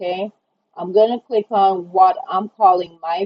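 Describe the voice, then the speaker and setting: Delivered at a fairly slow pace, the speech has a Jamaican accent and monotone, flat intonation. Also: woman. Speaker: online design tutorial creator. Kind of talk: tutorial. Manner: casual, conversational.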